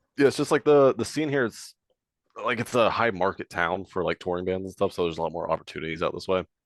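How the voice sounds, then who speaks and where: With a dry, close sound free of echo and a quiet background, a man talks very fast at a fairly low pitch with lively intonation. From US South, moved around (Tennessee, Virginia, Florida...). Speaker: deathcore band vocalist. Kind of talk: casual chat.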